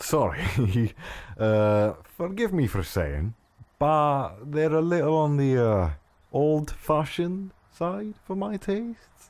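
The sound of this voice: Using a put-on character voice, a man speaks slowly at a fairly high pitch with big pitch swings and a slightly mellow tone.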